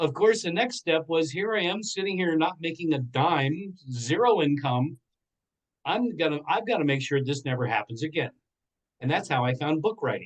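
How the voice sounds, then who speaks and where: Speaking with an American accent, a man has an unremarkable speaking voice at a fairly high pitch. He talks at a moderate pace with lively intonation. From Pennsylvania Dutch Country, Lancaster. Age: 60s. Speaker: entrepreneur and motivational speaker. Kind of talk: interview testimony.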